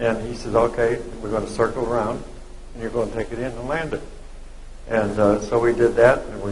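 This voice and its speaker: Fairly quick speech from a man, with audible echo from the room. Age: 90s. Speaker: war veteran. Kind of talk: live interview. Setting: dinner event with audience.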